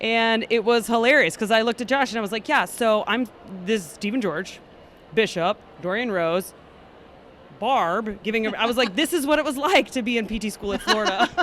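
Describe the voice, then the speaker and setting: An animated tone at a fairly quick pace, with lively intonation and noticeable background noise. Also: woman, fairly high pitch for a woman. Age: 20s. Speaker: physical therapist. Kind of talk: casual interview. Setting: conference floor.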